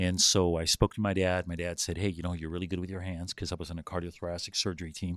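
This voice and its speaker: With a Spanish accent and a very deep, low pitch, a man talks at a very fast pace with fairly even intonation on a very clean recording with a silent background. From US, Southern California (born in Mexico). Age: 50s. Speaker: businessman and builder, former medical worker. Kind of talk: podcast interview. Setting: recorded podcast session. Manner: hesitant, many fillers.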